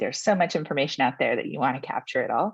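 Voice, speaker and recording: The background is quiet as a woman speaks. Her sound is dry with no echo. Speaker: solutions engineer presenting software demo; webinar presenter. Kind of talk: webinar presentation. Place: home room. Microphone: webcam.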